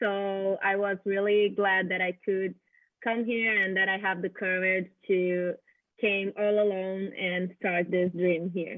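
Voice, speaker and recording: With a Brazilian accent, a woman speaks very slowly at a medium pitch, her intonation flat and monotone and her loudness very even. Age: 20s. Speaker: international student. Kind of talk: interview.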